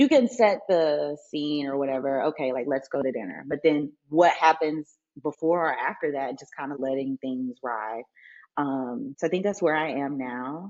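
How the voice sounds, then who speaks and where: Speaking with a Southern US accent, a woman with a very deep, low pitch talks at a moderate pace with ordinary pitch variation and big swings in loudness. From Mississippi, US. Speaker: family nurse practitioner, essay writer. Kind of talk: podcast interview answer.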